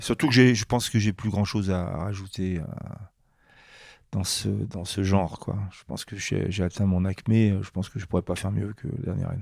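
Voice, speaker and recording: A man at a moderate pace, fairly low in pitch with fairly even intonation and big swings in loudness, on a very clean recording with a silent background. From France, Grenoble. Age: 60s. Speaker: comic book artist. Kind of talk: interview. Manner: halting, many hesitations.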